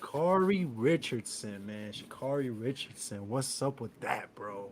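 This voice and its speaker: In a New York accent, a man speaks fairly slowly at a medium pitch with lively intonation and big swings in loudness. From New York, Bronx. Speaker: podcast co-host. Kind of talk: casual chat.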